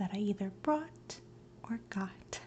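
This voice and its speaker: The voice is soft-spoken with a relaxed tone. It moves at a fairly slow pace. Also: woman. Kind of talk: ASMR show-and-tell haul, soft spoken talk to camera. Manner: soft-spoken, relaxed.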